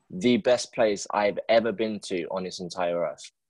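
A man with a London accent talks at a moderate pace. The sound is dry and close with no echo, against a quiet background. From England, London. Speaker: podcast host. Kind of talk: casual interview.

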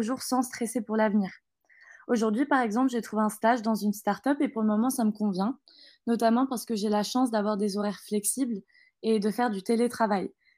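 A woman talks at a fairly quick pace with fairly high pitch and fairly even intonation. It is an unremarkable speaking voice in a very clean recording with a silent background. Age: 20s. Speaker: business school graduate. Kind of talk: interview.

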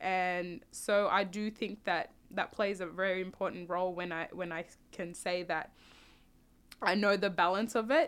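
In a very clean recording with a silent background, a woman with an Australian accent speaks at a fairly slow pace in a bright, sharp tone. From Australia, South Sudanese family. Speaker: podcast guest. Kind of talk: casual interview.

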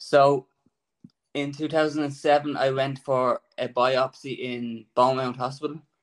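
In an Irish accent, the speaker talks at a very slow pace with monotone, flat intonation. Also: man, fairly high pitch for a man. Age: 30s. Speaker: cancer patient. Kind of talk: testimony. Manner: shaky.

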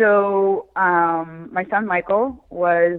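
In a Philadelphia accent, a woman speaks with a fairly low pitch and ordinary pitch variation. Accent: Philadelphia American. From Philadelphia, US. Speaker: rare eye disease advocate and author. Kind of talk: interview.

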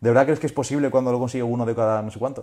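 Against a quiet background, a man with a medium pitch and a dark, mellow tone speaks very fast with ordinary pitch variation. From Spain (Seville, Alicante; born in Colombia). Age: 20s. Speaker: content creator. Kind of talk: interview. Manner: casual, hesitant with fillers.

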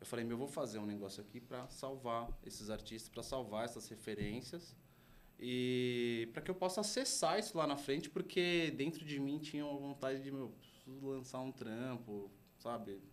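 Audible room echo surrounds a man at medium pitch. He talks at a moderate pace with lively intonation. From São Paulo, Brazil. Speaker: art agency co-founder. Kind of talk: casual interview chat.

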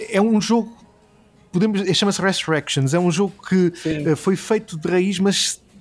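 Over noticeable background noise, a high-pitched man talks at a fairly slow pace with very even loudness and ordinary pitch variation. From Portugal, Alentejo. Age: 30s. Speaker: gaming and film website founder. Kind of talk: casual interview. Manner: hesitant, many fillers and repetitions.

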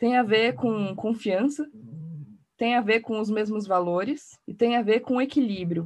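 A woman speaks at a moderate pace in a fairly high, somewhat breathy voice with ordinary pitch variation. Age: 30s. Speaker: design and innovation executive. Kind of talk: podcast panel discussion.

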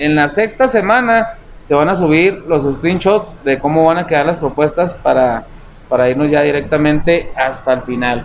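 A man with a fairly high pitch talks at a moderate pace in an animated tone, his intonation lively and his loudness very even. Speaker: comedy podcast co-host. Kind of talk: casual chat.

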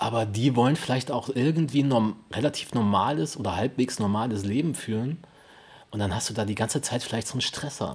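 Somewhat breathy, a man talks at a fairly quick pace. His medium-pitched voice has ordinary pitch variation. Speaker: podcast co-host. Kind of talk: casual chat.

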